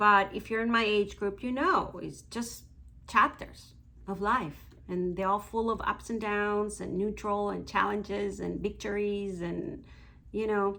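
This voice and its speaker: The speaker has a Mexican accent and fairly even intonation. The pace is fairly slow. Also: woman, medium pitch for a woman. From Mexico. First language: Spanish. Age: 50s. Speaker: beauty vlogger. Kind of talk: casual vlog monologue.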